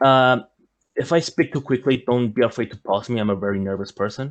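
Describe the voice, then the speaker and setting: Over a quiet background, a man with medium pitch talks at a fairly quick pace with ordinary pitch variation. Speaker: fencing instructor. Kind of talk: lecture. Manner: fast; halting.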